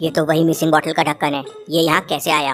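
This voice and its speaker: A woman does a cartoonish character voice, very deep and low for a woman, rattling along at a very fast pace in a flat monotone while music plays in the background. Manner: thinking aloud.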